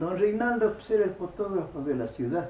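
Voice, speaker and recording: With lively intonation, a man talks over noticeable background noise, and audible room echo surrounds him. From Ecuador, Loja. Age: 80s+. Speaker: local elder and oral historian. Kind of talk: interview testimony. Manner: halting.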